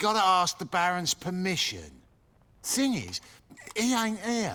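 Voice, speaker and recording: A female-sounding voice puts on a gruff character voice at a middle pitch. The delivery is fairly slow. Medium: video game. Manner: gruff, coarse.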